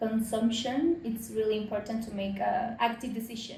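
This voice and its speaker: There is audible room echo around a woman with a Spanish accent. Her fairly high voice keeps a fairly even intonation. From Mexico. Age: 30s. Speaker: fashion business consultant. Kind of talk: interview. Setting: at her home. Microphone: poor sound quality.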